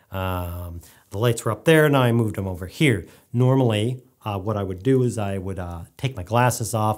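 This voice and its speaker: The background is quiet. Pitch variation is ordinary. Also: man. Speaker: filmmaking vlogger. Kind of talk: casual solo video Q&A. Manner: fast talker, rambling; informal, humorous. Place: studio.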